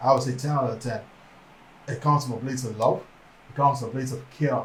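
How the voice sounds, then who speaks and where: A man mumbles at a very fast pace, somewhat breathy, at medium pitch. His intonation is monotone and flat, with audible room echo. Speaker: podcast co-host. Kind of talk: casual chat. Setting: livestream. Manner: fast, mumbling.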